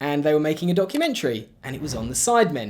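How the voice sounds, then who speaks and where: This man rattles along at a very fast pace, his pitch fairly high. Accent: English. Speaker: YouTuber and video editor. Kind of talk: casual vlog narration.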